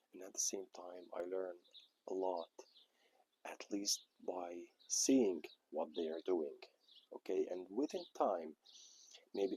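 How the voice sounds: In a dry, close recording with no echo, a man speaks slowly with a low pitch, a dark, mellow tone, a slightly husky edge and fairly even intonation.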